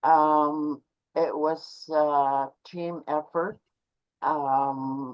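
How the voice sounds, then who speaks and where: A woman's very deep, low voice in a Canadian Arctic accent, with monotone, flat intonation and a very slow pace. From Canadian central Arctic, Inuit. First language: Inuktitut. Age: 70s. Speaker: Inuit elder. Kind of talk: talk to online audience.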